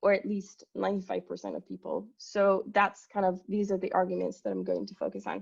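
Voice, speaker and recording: A woman is speaking. She has a French accent. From France. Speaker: company executive. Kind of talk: conference presentation.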